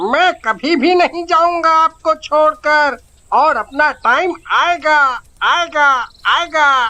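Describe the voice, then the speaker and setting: A cartoonish character voice, high-pitched and very slow. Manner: chatty, repeats phrases like a parrot.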